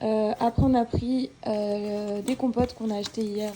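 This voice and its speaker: Against noticeable background noise, a woman speaks with fairly high pitch and a monotone, flat intonation. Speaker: vlogger. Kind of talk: casual vlog chat.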